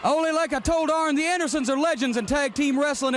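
A very fast male voice, dry with no echo, over light background noise. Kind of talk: interview with wrestlers, ringside. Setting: ringside at arena. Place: studio.

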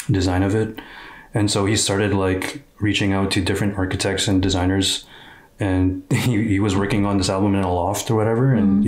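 A man's fairly low voice at a fairly quick pace, flat and monotone in intonation. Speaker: reaction video host. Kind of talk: casual explanatory chat. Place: home room. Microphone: studio mic.

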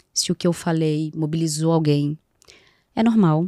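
Against a quiet background, a woman talks at a moderate pace in a very deep, low pitch, with a dark, mellow tone, monotone, flat intonation and a dry sound with no echo. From Rio de Janeiro, Brazil. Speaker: psychoanalyst and NGO founder; psychoanalyst. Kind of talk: casual interview. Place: studio. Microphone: studio mic.

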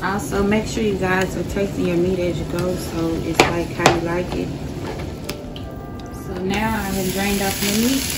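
A woman talks at a moderate pace, leaving long, frequent pauses. Music plays in the background. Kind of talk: cooking tutorial. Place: kitchen. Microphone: phone near.

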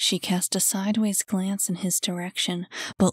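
The clip captures reading aloud in a natural voice.

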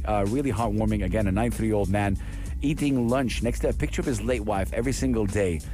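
Very deep, low male voice over clear music in the background, the sound dry with no echo. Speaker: radio presenter. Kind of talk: radio show talk. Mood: warm, moved. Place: studio. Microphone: studio mic.

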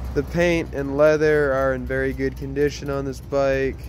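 Some light background noise accompanies a man speaking at a moderate pace in a dry sound with no echo. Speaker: motorcycle salesman. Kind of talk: sales walkaround commentary. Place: street. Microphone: phone near.

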